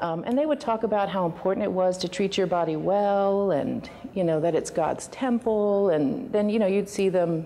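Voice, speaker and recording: A woman talks at a moderate pace with hardly any pauses. Her loudness stays very even, and her pitch varies in an ordinary way. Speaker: interviewee. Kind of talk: interview answer. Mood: warm, reflective, some laughs. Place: meeting room.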